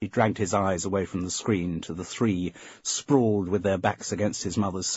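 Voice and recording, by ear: Fairly even intonation marks this reading aloud in a natural voice.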